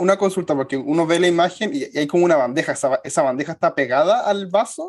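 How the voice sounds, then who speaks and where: This man talks very fast in a high voice, barely pausing. His intonation is lively. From Chile. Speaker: podcast co-host, historian. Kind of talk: casual chat.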